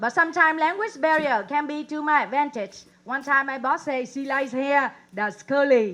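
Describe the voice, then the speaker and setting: With a Vietnamese accent, a woman talks in a high pitch at a moderate pace with lively intonation and hardly any pauses. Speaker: comedian. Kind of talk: stand-up. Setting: stage with audience.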